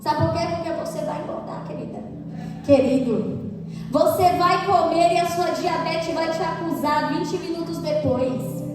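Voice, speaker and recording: A woman at a fairly slow pace, with big swings in loudness, audible room echo and noticeable background noise. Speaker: preacher. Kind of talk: sermon.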